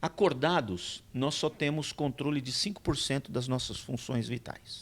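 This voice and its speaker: Using a plain, everyday voice, a man speaks at a fairly slow pace with ordinary pitch variation. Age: 60s. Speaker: pastor. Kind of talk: casual chat.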